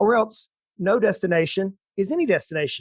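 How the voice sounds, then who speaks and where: The sound is dry and close with no echo. The speaker has an American accent and lively intonation. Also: man. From US South, south Georgia. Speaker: financial planner. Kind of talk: interview.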